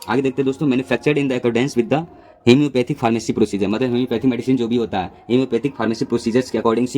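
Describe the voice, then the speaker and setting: With hardly any pauses, a man talks at a medium pitch and fairly even intonation over noticeable background noise. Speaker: pharmacy lecturer. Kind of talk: lecture. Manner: hesitant fillers.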